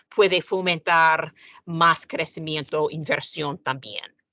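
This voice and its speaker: A woman with an English accent and a fairly low pitch. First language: English (speaking Spanish). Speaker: sovereign credit rating analyst. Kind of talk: panel discussion. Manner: halting, with many fillers.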